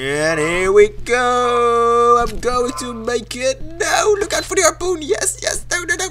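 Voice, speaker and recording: Light background noise runs under the recording. A man speaks at a very slow pace. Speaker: gaming YouTuber. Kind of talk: casual gameplay commentary. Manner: excitable, swearing when frustrated.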